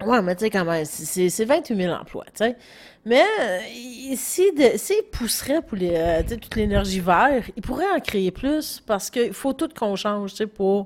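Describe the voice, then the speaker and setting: A woman with an unremarkable speaking voice talks at a fairly slow pace, her fairly high pitch moving in lively intonation. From Quebec, Gaspésie. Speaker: podcast co-host. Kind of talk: casual chat.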